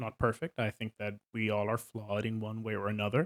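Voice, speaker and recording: A man speaks with a Swedish accent. The recording is very clean and silent in the background, with a dry, close sound and no echo. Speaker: tabletop game master, video creator. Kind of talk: casual monologue. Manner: halting, many fillers.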